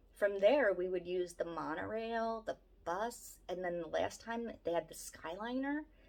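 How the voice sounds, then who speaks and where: This woman has a Philadelphia accent and a medium pitch. Her intonation is lively. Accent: Philadelphia-area American. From Southeast Pennsylvania, near Philadelphia. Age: 40s. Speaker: family vlogger. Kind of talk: casual vlog chat.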